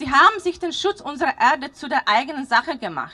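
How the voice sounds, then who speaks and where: Raised, projected woman's voice with a bright, sharp tone, very wide pitch swings, and a moderate pace. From Slovakia. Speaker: parent climate activist. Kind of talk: rally speech.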